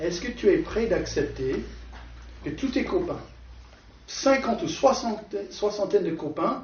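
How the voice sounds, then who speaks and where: With a non-native accent, a man talks at a fairly slow pace in a high pitch, his voice making very wide pitch swings, with long, frequent pauses and audible room echo. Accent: foreign accent in French. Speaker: preacher. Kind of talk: sermon. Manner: halting.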